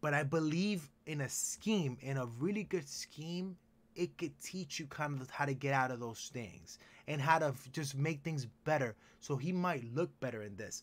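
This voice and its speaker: A man's fairly high, animated voice with a Spanish accent and ordinary pitch variation, on a very clean recording with a silent background. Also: moderate pace. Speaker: sports podcast host. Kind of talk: casual sports talk chat.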